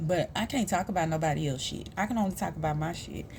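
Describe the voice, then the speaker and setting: An American accent marks this woman's lively intonation, with some vocal fry. She talks at a fairly quick pace. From US South, Houston, Texas (south side). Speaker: vlogger, mother and peer support specialist. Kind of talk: casual personal vlog monologue.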